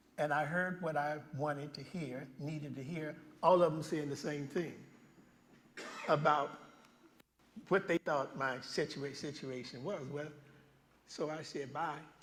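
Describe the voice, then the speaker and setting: A man talks fairly slowly in a fairly high voice, with long, frequent pauses. Audible room echo surrounds his speech. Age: 70s. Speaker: guest preacher. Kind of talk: sermon. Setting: church. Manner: animated storytelling.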